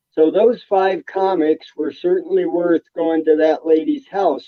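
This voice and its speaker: The pace is very slow. Intonation stays lively. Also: man. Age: 80s+. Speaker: comic book collector. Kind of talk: interview storytelling.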